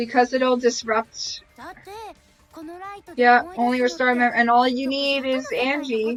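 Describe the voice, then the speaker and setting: A woman with a high-pitched voice speaks at a fairly slow pace, leaving long, frequent pauses. Music plays in the background. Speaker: streamer playing a video game. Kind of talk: live gameplay commentary. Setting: live stream. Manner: animated.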